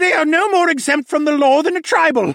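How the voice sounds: Shouting loudly at a fairly quick pace in a put-on character voice, a man strains at an extremely high pitch with vocal fry. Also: ordinary pitch variation, fairly bright tone, very clean recording, silent background.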